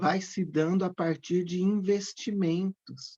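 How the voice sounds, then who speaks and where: At a very slow pace, a woman speaks in a dark, mellow tone with fairly low pitch and fairly even intonation. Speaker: psychoanalysis teacher. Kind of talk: online lecture.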